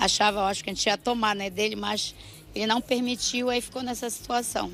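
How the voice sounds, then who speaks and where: A woman talks at a fairly quick pace with a fairly high pitch. Her intonation stays monotone and flat. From Belém, Pará, northern Brazil. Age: 60s. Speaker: local resident interviewed. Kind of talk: street news interview.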